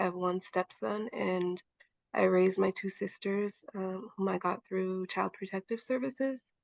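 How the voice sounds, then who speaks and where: A woman talks in a normal speaking voice with an American accent. Her pitch is medium and her pace moderate. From Montana, Chippewa Cree. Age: 20s. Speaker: young mother, advocate. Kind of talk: personal testimony.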